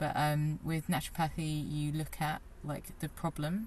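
This woman, with a British accent, has a very deep, low pitch and sounds somewhat breathy. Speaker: personal trainer. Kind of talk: casual interview. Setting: outdoors.

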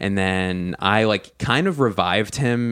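At a fairly slow pace, a man with an American accent and an unremarkable speaking voice talks in a fairly low pitch with lively intonation, captured on a very clean recording with a silent background. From Philadelphia. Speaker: comedian. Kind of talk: casual chat.

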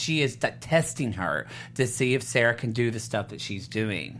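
A man speaks with lively intonation and an animated tone, his bright, sharp voice edged with vocal fry. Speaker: TV after-show host. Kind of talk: casual chat. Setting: studio.

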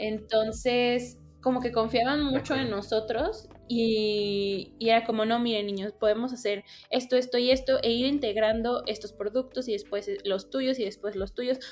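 A woman's fairly high voice at a fairly slow pace, with fairly even intonation and noticeable background noise. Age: 20s. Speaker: university student and entrepreneur. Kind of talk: podcast interview.

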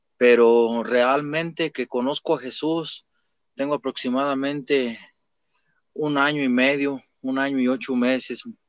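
An ordinary speaking voice at a fairly slow pace, fairly even intonation and a quiet background. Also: man, dry, close sound with no echo. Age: 20s. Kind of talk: testimony.

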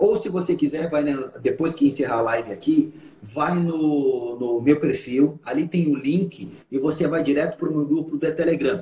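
The man has a fairly high pitch, ordinary pitch variation and an ordinary speaking voice. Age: 30s. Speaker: hypnotherapist and trainer. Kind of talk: live stream conversation.

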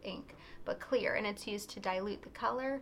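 Noticeable background noise behind a woman's fairly high-pitched voice. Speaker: pen shop video co-host. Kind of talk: casual product talk video.

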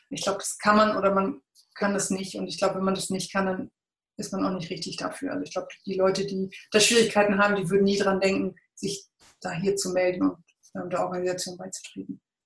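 Her loudness swinging widely, a woman speaks very fast at a medium pitch with vocal fry and fairly even intonation. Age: 40s. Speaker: volunteer photographer. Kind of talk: interview.

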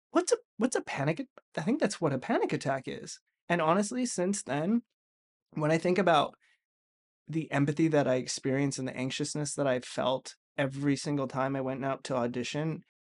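A man with an unremarkable speaking voice, at a fairly quick pace with lively intonation, against a quiet background. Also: fairly high pitch for a man, dry, close sound with no echo. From Vancouver, Canada. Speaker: actor and writer. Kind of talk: casual chat, storytelling.

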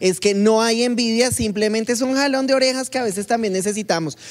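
It is a normal speaking voice with ordinary pitch variation. The pace is moderate. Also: woman. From Colombia. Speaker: podcast co-host. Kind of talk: casual chat.

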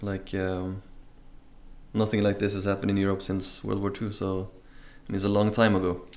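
A man with a Norwegian accent talks at a fairly quick pace in a fairly low pitch, his intonation monotone and flat. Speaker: traveler. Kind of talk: casual chat. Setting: livestream.

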